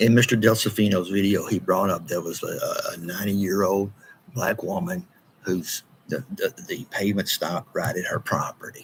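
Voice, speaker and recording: With an East Texas accent, a man speaks at a moderate pace. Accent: East Texas Southern US. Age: 60s. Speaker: local political commentator. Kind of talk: monologue video commentary. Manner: animated.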